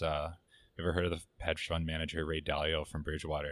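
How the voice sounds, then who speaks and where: A man with a Canadian accent speaks at a very fast pace in a very deep, low pitch. The recording is very clean with a silent background. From Canada. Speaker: podcast guest. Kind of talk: casual chat. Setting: studio.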